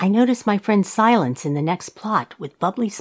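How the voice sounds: The intonation stays lively while a natural reading voice carries the text.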